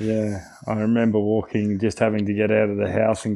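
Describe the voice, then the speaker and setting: Against a quiet background, a man with an Australian accent speaks in a dark, mellow tone, fairly low-pitched and monotone, at a moderate pace. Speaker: retired rugby player. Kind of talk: interview.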